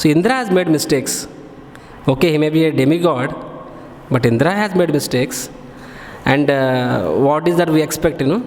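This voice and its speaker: A man with an Indian accent speaks at a fairly high pitch, with lively intonation and very even loudness. Long, frequent pauses break his speech, and the recording has audible room echo and noticeable background noise. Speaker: monk giving scripture class. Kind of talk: religious lecture. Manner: fast.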